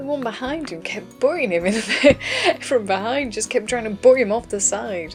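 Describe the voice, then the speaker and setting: With music playing behind her, a woman with a northern English accent speaks at a moderate pace in a relaxed tone. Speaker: artist. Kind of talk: casual art commentary. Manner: relaxed, chatty.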